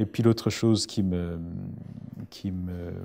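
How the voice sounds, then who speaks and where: Speaking at a very slow pace, a man with a Burundian accent has a dark, mellow tone. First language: Kirundi (speaking French). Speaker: writer. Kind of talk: interview. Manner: halting. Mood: thoughtful, calm. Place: studio.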